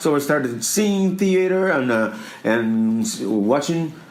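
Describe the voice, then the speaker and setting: A man with a Portuguese accent, fairly high in pitch, fairly slow, with very wide pitch swings and audible room echo. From Brazil, Minas Gerais. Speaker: theater producer. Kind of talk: interview. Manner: halting.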